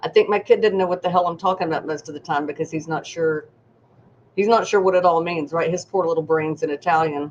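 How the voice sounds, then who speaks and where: A woman speaks at a very fast pace in a slight Southern US accent. Her pitch is fairly low and her tone is animated. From US South. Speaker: psychic medium. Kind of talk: live stream readings. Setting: live stream.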